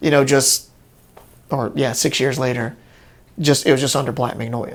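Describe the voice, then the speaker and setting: A man with a medium pitch speaks at a moderate pace in a monotone, flat intonation. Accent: Louisiana. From Bunkie, Louisiana. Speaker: guitarist and singer. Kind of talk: interview answer.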